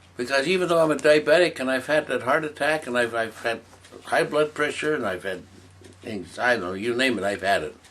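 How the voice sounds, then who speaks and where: A man's voice shows vocal fry and very wide pitch swings while he keeps a moderate pace. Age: 70s. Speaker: interviewee sharing life story. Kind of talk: interview. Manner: halting, repetitive.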